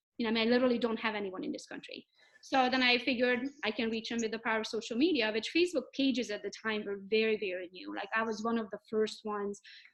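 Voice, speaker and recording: A woman with a Hungarian accent, fairly high in pitch, at a very fast pace. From Romania, Hungarian. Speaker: real estate agent. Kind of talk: podcast interview. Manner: animated.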